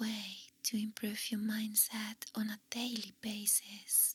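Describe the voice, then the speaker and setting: Someone whispers at a very slow pace. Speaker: ASMR artist. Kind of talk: ASMR positive affirmations. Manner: whispered.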